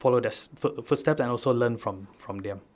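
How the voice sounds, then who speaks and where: With a Sabahan accent, the speaker moves at a fairly quick pace with ordinary pitch variation on a very clean recording with a silent background. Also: man. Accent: Malaysian (Sabahan) English. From Sabah, Malaysia (Keningau, interior). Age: 30s. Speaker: farmer and youth activist. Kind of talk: radio talk show interview. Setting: radio studio. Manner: hesitant, many filler uhs and restarts.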